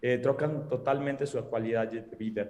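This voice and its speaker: A man speaks with a Spanish accent in a dark, mellow tone. Audible room echo surrounds his voice. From Mexico. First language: Spanish (speaking Portuguese). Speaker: gynecologist. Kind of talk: panel discussion closing remarks. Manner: halting, hesitant.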